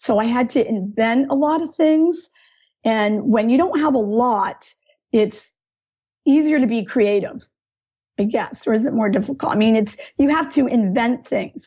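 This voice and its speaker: A woman speaks at a fairly slow pace, her pitch fairly high. She has an unremarkable speaking voice with ordinary pitch variation. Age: 50s. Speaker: art teacher. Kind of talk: interview, personal story.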